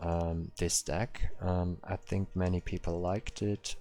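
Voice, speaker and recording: A man with a German accent against a quiet background. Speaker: game streamer. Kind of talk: live stream commentary. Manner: halting, many fillers.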